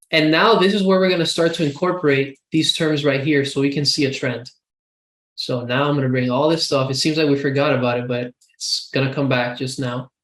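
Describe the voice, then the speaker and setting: This is an unremarkable speaking voice from a man with a fairly high pitch. His pitch variation is ordinary. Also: fairly quick pace. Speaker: student tutor. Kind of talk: tutorial.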